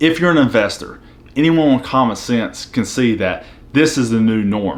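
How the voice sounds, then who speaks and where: At a moderate pace, a man speaks with a Southern US accent, a medium pitch and ordinary pitch variation. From US South. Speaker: finance YouTuber, military veteran. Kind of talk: casual explainer video.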